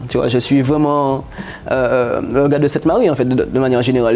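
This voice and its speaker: A man at medium pitch talks at a fairly quick pace with monotone, flat intonation. Noticeable background noise runs underneath. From Guadeloupe (Capesterre). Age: 30s. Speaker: chemist and company founder. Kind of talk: interview. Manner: halting.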